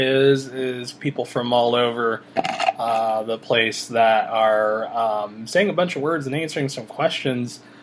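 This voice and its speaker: With noticeable background noise behind him, a man with a Midwestern US accent talks at a fairly slow pace and medium pitch. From Iowa. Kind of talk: casual talk to camera.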